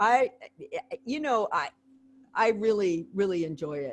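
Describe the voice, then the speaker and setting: A woman speaks in a normal speaking voice, fairly high in pitch, with ordinary pitch variation and a fairly slow pace. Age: 60s. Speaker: history professor. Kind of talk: video call Q&A discussion.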